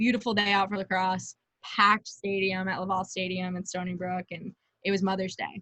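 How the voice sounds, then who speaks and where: In a Long Island accent, a woman talks at a fairly quick pace with a bright, sharp tone. Her intonation is monotone and flat, and the sound is dry and close with no echo. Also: medium pitch for a woman. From Long Island, New York. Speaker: lacrosse player. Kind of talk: interview. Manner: casual, many fillers.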